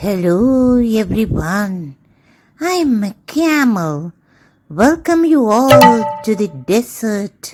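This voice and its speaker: Over music in the background, a woman uses a put-on character voice, fairly high in pitch and swinging very widely, delivered at a very slow pace. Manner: polite.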